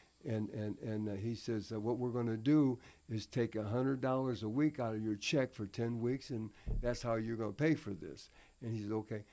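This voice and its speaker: A man with an American accent, medium pitch, fairly even intonation and a dark, mellow tone at a moderate pace, in a very clean recording with a silent background. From Indiana, US Midwest (born Tennessee). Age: 80s+. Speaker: retired professional wrestler. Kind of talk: podcast interview answer.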